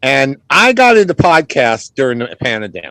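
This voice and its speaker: With an American accent and lively intonation, a man talks in a plain, everyday voice, the sound dry and close with no echo. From New Orleans, US. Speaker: true crime podcaster and former ghost tour guide. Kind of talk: casual chat.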